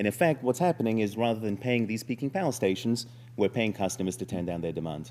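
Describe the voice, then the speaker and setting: Speaking very fast, a man has a dark, mellow tone at medium pitch. His intonation is lively. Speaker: startup founder pitching. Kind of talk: startup pitch presentation. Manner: hesitant, many fillers.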